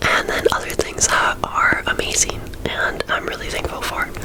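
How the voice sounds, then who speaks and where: A woman whispers over noticeable background noise. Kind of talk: ASMR whispered ramble to camera. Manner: whispered, soft-spoken.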